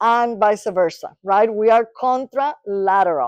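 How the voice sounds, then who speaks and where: An animated woman's voice with a Spanish accent, fairly high in pitch with ordinary pitch variation, dry and close with no echo against a quiet background. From Latin America. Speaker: neuropsychologist. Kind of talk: lecture.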